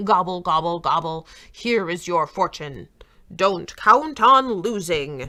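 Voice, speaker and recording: A put-on character voice, female-sounding and fairly low in pitch for a woman, at a fairly slow pace. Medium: read story.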